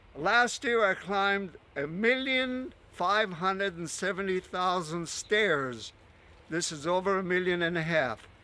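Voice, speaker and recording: A man's raised, projected voice, high in pitch with a bright, sharp tone, at a fairly slow pace. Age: 80s+. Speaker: retired stair-climbing record collector. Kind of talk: documentary interview. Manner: casual, chatty.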